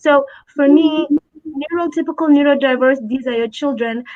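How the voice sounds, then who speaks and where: Her pitch moves in an ordinary way. The woman keeps a moderate pace. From born in Abu Dhabi, Somali family. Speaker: special education advocate and parent. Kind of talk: interview conversation.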